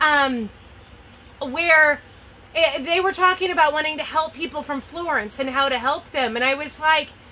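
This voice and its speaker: A woman speaks in a raised, projected voice at a high pitch and moderate pace. Her pitch varies ordinarily, with noticeable background noise around her. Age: 30s. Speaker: shop owner hosting a live sales show. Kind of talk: live stream product chat. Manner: loud; animated.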